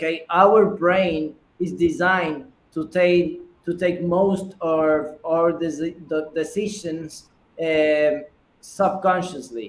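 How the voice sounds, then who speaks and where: With a high pitch and fairly even intonation, a man speaks at a very slow pace. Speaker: startup founder. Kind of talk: pitch Q&A. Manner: halting, many repetitions.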